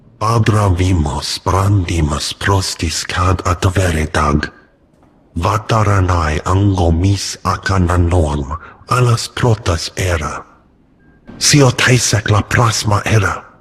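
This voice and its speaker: Put-on character voice from a man, very deep and low in pitch, at a fairly slow pace. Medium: video game.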